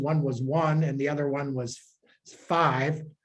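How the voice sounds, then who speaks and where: A man's moderately paced speech carries an audible echo from the room. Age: 70s. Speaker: priest. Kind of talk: informal talk to a group. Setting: room with a gathering. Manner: halting.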